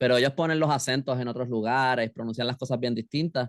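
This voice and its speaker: A man moves at a fairly quick pace, keeping a medium pitch and fairly even intonation. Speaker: novelist and illustrator. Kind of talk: interview conversation. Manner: halting.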